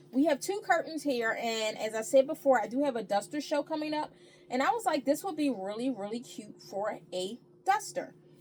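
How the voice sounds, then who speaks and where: A woman talks in a high pitch with very wide swings. Noticeable background noise runs underneath. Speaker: thrift reseller and upcycler. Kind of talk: casual haul video talk. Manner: fast; animated.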